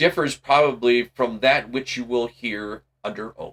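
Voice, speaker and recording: Doing a put-on character voice, a man talks at a moderate pace and medium pitch, with ordinary pitch variation and big swings in loudness. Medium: read story. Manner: formal, dry.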